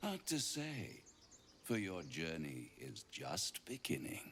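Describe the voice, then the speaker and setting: A man's put-on character voice, theatrical in tone and very deep and low, delivered at a fairly slow pace over clear background noise. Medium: video game. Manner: theatrical, silky, mocking.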